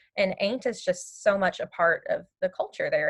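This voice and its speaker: Speaking at a moderate pace, a woman talks in an Appalachian accent. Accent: Appalachian, lets it through. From Appalachian Virginia. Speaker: teacher. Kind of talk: interview.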